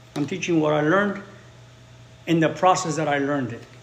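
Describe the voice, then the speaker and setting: Over noticeable background noise and audible room echo, a man talks at a fairly quick pace with a fairly high pitch and ordinary pitch variation. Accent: Spanish. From Chicago, US Midwest. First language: Spanish. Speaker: English teacher. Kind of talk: live-stream language lesson.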